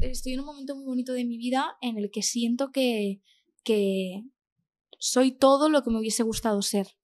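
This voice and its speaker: This woman has an unremarkable speaking voice, pitched fairly high, with ordinary pitch variation and a moderate pace. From Spain, Castellón (Valencia region). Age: 20s. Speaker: actress. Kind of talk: casual interview chat.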